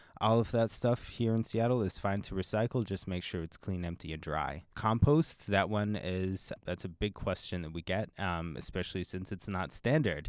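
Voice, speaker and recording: A man's very deep, low voice with an American accent, at a moderate pace with hardly any pauses and ordinary pitch variation, in a very clean recording with a silent background. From Pennsylvania. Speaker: university recycling program coordinator. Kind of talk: interview.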